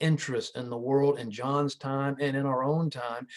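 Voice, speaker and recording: Moving at a moderate pace, a man with fairly high pitch uses a plain, everyday voice and fairly even intonation. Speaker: New Testament scholar and seminary president. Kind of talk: lecture.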